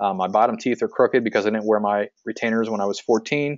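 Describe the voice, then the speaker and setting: A fairly quick pace with an American accent. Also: man. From central Pennsylvania. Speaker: physical therapist and practice owner, marketing coach. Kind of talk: webinar sales pitch. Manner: frequent filler words (um, uh).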